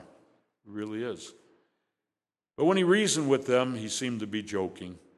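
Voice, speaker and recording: A man with an American accent, medium in pitch, at a fairly quick pace, with audible room echo. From Chicago, Illinois (south side, suburbs). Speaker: guest preacher. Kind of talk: sermon. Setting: church.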